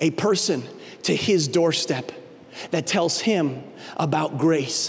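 A man talks in a passionate tone at a fairly high pitch. His pitch variation is ordinary. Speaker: lead pastor. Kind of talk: sermon. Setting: church. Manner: animated; passionate, urgent, pleading. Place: stage. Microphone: handheld.

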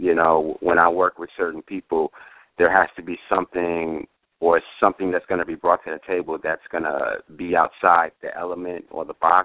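A man with an American accent at a moderate pace, big swings in loudness, a dry sound with no echo, and a quiet background. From New York. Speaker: music producer. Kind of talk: interview. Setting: phone call. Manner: halting, many fillers. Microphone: phone line.

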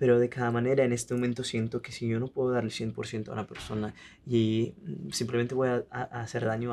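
At a fairly quick pace, a man with an Italian accent speaks at medium pitch in a flat, monotone way. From Italy. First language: Italian (speaking Spanish). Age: 20s. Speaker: singer-songwriter; guest. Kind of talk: interview; interview answer. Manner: halting. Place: studio.

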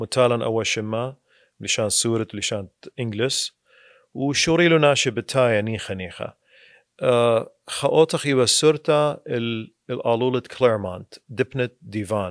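Against a quiet background with a dry sound and no echo, a man speaks at a fairly slow pace with ordinary pitch variation. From Iraq, Kirkuk; Iraq. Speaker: attorney. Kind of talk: casual interview. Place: studio. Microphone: studio mic.

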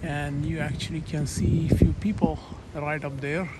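Against noticeable background noise, a man talks at a fairly slow pace in a monotone, flat intonation. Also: dry sound with no echo. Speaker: tourist narrator. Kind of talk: casual travel vlog narration. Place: open country. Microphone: phone near.

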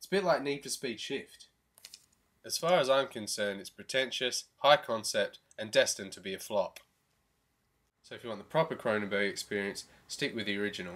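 With an Australian accent, a man talks at a fairly quick pace, with lively intonation and big swings in loudness. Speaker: beer review vlogger. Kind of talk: comedic review monologue. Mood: wry, comedic. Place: home room. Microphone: webcam.

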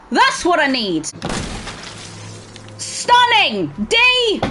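Music plays behind a woman who speaks at a very slow pace. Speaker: game streamer. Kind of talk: gaming commentary.

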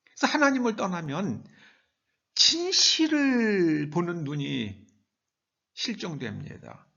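Long, frequent pauses break up a man's very slow speech. Room echo is audible. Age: 70s. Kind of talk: sermon.

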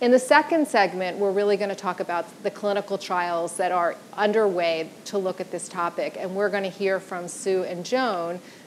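A woman talks at a moderate pace with hardly any pauses and ordinary pitch variation. Light background noise runs underneath. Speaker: panel moderator. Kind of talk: event introduction. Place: stage. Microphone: lapel.

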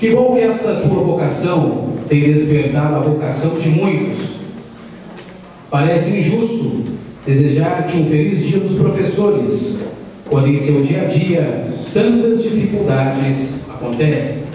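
A man talks at a fairly slow pace with lively intonation. Light background noise and strong room echo fill the recording. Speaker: speaker. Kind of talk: formal speech read aloud. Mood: warm, solemn tribute. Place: hall.

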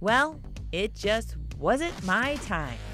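A woman's voice is raised and projected. Music plays in the background. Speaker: TV reporter and host. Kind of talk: TV story voiceover narration.

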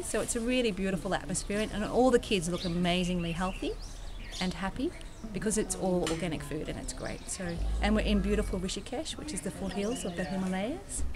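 A woman's speech moves at a fairly quick pace, her pitch varying in an ordinary way, with noticeable background noise behind her. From Australia, Sydney. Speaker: volunteer. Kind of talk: casual interview testimony. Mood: warm, enthusiastic. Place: garden. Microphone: phone near.

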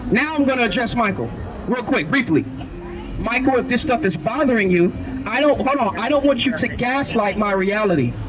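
Over crowd noise in the background, a man speaks at an extremely high pitch with lively intonation and very even loudness. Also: fairly quick pace. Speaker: street preacher. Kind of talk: street preaching, confrontational Bible-based debate with passers-by. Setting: outdoors, street, talking with a crowd or passers-by. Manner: forceful, relentless interrogating, rapid-fire pointed questions; scolding, lecturing, formal vocabulary. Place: street. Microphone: handheld.

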